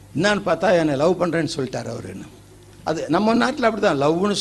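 Lively intonation colors a man's speech. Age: old. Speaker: preacher. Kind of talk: sermon.

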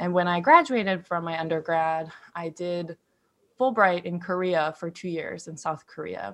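A woman with a normal speaking voice in an American accent, fairly low in pitch, with ordinary pitch variation, a moderate pace and a quiet background. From Ohio, US (Wooster). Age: 20s. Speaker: podcast co-host, counseling graduate. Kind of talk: casual chat.

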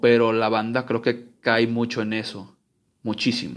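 Speaking very slowly with a Mexican accent, a man at a medium pitch is heard over a quiet background. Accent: Mexican Spanish (Jalisco). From Guadalajara, Mexico. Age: 20s. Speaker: podcaster. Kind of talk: casual monologue. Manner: informal, slangy; halting, repeats words.

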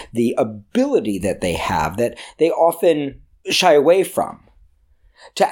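In a very clean recording with a silent background, a man talks. His pitch swings very widely, with vocal fry. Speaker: screenwriting teacher and podcast host. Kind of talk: solo podcast lecture.

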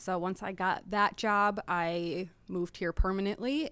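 On a very clean recording with a silent background, a woman with an Upper Midwest accent speaks at a medium pitch. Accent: Upper Midwest American. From Wisconsin, Appleton. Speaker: board member and co-op outreach coordinator. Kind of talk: casual interview chat.

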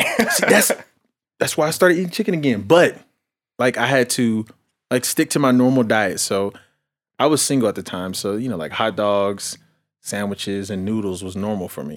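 At a moderate pace and medium pitch, a man speaks in an animated tone with lively intonation and long, frequent pauses. The recording is very clean, with a silent background. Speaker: guest. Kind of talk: casual chat.

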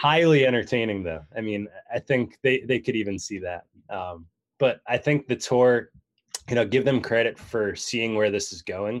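At a moderate pace, a man with an unremarkable speaking voice talks with ordinary pitch variation in a very clean recording over a silent background. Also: medium pitch for a man. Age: 30s. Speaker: golf magazine editor. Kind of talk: casual chat.

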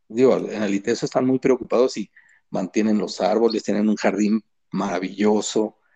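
A man's dark, mellow tone in a dry, close sound with no echo. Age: 60s. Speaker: illustrator. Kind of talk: casual chat. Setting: call.

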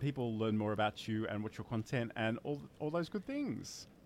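A man talks in an Australian accent, his pitch swinging very widely. The recording is very clean with a silent background. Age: 40s. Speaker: livestreaming show host. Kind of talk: casual chat. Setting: live stream.

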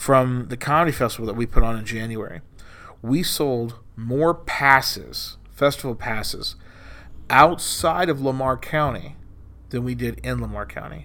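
At a moderate pace, a man with an American accent speaks with big swings in loudness. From Texas Gulf Coast, Corpus Christi. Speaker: stand-up comedian and comedy club owner. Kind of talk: casual chat.

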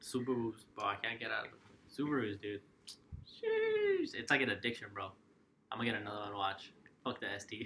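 A man talking at a fairly quick pace in an animated tone, with long, frequent pauses and noticeable background noise. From Mexico. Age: 20s. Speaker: car enthusiast and photographer. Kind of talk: casual chat.

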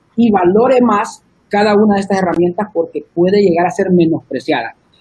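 A man talks in a high voice at a moderate pace. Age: 30s. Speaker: church media leader. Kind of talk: casual chat.

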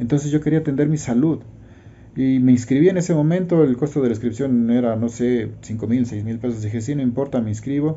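At a fairly quick pace, a man talks in an unremarkable speaking voice. His pitch is medium, with ordinary variation. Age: 50s. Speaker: network marketing promoter. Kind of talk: testimony.

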